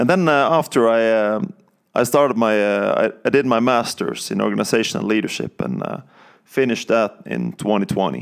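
At a moderate pace, the speaker talks with a Norwegian accent. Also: man. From Norway, countryside outside Bergen. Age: 30s. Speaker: Bible college student. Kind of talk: testimony. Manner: halting, many fillers.

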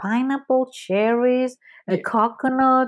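A woman with a Spanish accent on a very clean recording with a silent background. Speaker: food blogger and author. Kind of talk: casual chat. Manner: laughs often.

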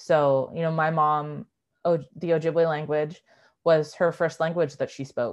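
Against a quiet background, a woman with a Western Canadian accent speaks in a very deep, low pitch and a monotone, flat intonation. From Canada, East Vancouver. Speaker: writer and filmmaker. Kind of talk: casual interview. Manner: hesitant, many fillers and restarts.

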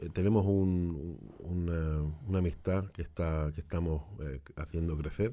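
A man's very deep, low voice with a dark, mellow tone, fairly even intonation and a fairly slow pace, in a very clean recording with a silent background. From Spain, Granada (Andalusia). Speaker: shop owner selling Spanish delicacies. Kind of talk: casual chat. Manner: halting.

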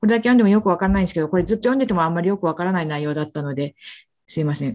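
A woman speaks in a fairly low voice with a dark, mellow tone. Her pace is very fast. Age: 40s. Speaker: physician presenting research papers. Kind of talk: journal club presentation. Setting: video call. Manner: halting, many fillers.

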